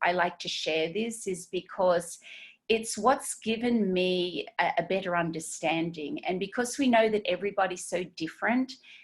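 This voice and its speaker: With an Australian accent, a woman talks at a moderate pace, her medium pitch showing ordinary pitch variation. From Australia, Sydney. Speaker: esthetician and skincare trainer. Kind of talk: webinar training. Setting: video webinar. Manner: halting, many fillers.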